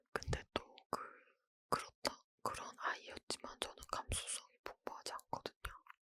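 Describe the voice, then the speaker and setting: The speaker is whispering. The pace is very slow. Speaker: ASMR creator. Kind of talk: whispered ASMR ramble, casual chat. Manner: whispered, soft, slow.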